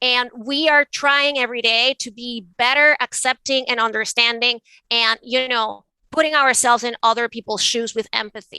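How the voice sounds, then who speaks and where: A woman with a Venezuelan accent speaks at a fairly slow pace in a high pitch and a bright, sharp tone, with a dry, close sound and no echo. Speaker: art advisor and author. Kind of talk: interview conversation.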